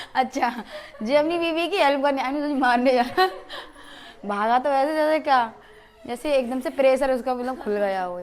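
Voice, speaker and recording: Delivery comes at a moderate pace with ordinary pitch variation. Long, frequent pauses break it up. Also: woman, high pitch for a woman. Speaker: family vlogger. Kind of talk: casual vlog chat. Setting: at home, morning.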